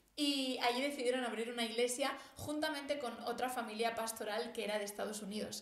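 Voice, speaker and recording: A woman's high-pitched voice with fairly even intonation, a fairly quick pace and hardly any pauses, amid noticeable background noise and audible room echo. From Spain, Barcelona area (born Madrid, moved at five). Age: 20s. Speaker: theology podcaster. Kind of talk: personal testimony.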